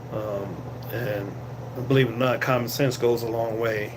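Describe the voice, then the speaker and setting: A man talks at a moderate pace with an American accent. There is audible room echo and noticeable background noise. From Boston, Massachusetts. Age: 60s. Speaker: security guard and vlogger. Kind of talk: casual live-stream chat. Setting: guard shack on night shift. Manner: halting with many fillers.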